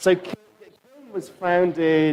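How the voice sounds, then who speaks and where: He speaks with an English accent. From London, England. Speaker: data visualization studio co-founder, conference speaker. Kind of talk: conference talk. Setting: stage with audience. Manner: hesitant, many fillers.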